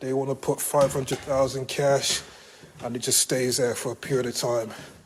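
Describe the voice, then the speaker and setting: A man with a British accent, medium pitch and monotone, flat intonation, amid noticeable background noise. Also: moderate pace. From Britain. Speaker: real estate agent. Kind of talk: on-site property walkthrough talk to clients.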